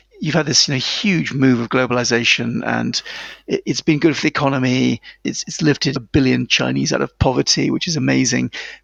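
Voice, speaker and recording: Speech comes at a fairly quick pace. It is delivered with a British accent. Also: man. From England, small town near London. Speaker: author. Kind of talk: interview.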